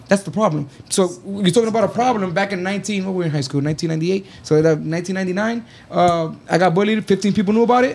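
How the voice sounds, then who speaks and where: A man talks at a high pitch and a moderate pace, using ordinary pitch variation and hardly any pauses. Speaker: army veteran and iron worker. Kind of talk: casual chat.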